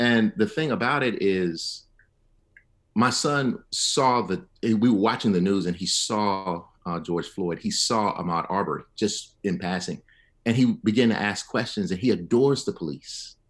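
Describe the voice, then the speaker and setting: A man's fairly low voice, fairly slow and with lively intonation, against a quiet background. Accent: Alabama. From Selma, Alabama. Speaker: history professor. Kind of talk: radio panel discussion.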